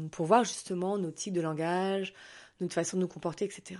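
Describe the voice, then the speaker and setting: A woman with a fairly low pitch, a dark, mellow tone and fairly even intonation over a quiet background. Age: 40s. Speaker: holistic therapist and podcaster. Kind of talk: casual solo monologue. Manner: hesitant, many filler words.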